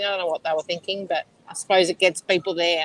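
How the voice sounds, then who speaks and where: The recording has a dry, close sound with no echo as a woman with an Australian accent speaks at a fairly quick pace. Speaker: medium. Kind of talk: casual chat.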